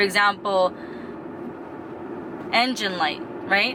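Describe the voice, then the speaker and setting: There is noticeable background noise. Through it, a woman talks at a medium pitch. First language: Spanish. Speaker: vlogger. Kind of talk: personal vlog confession. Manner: casual, with fillers and repetitions.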